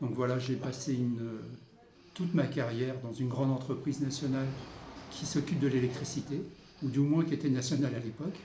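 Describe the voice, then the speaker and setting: A man talks at a fairly quick pace with a medium pitch, fairly even intonation, and long, frequent pauses. Audible room echo and noticeable background noise surround his voice. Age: 60s. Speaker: local councillor. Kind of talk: interview. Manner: halting.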